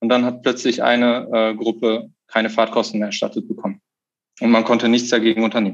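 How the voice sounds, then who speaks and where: The man speaks at a fairly quick pace with medium pitch. His intonation is monotone and flat. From Lower Saxony, Germany. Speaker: union negotiating committee member, dual student. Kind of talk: interview.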